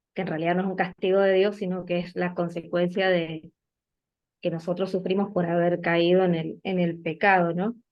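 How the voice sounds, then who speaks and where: With an Argentine accent, a woman talks in a fairly low pitch and a monotone, flat intonation. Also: moderate pace. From Argentina, Mendoza. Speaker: bible study participant. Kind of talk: group discussion.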